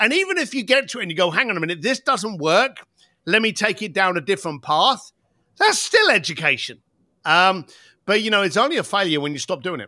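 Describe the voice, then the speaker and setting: A man's raised, projected voice, high in pitch and bright and sharp in tone, with very wide pitch swings at a fairly quick pace on a very clean recording with a silent background. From East End of London. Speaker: entrepreneur and author. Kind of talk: podcast interview. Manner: animated.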